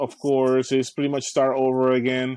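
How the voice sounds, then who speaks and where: A man's medium-pitched, dark, mellow voice with a Spanish accent, against a quiet background. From Caribbean, Puerto Rico and Dominican Republic. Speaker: youth program specialist. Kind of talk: interview. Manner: halting, repeats words.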